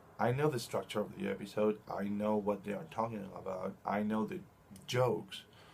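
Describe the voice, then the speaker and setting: A man with a Spanish accent speaks at a moderate pace, his fairly low pitch carrying lively intonation. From Chile. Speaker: video blogger. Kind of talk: casual monologue. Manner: halting, with restarts.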